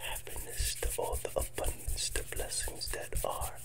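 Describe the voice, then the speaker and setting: A man is whispering. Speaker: ASMR creator. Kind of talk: soft soothing ASMR talk. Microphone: earbuds.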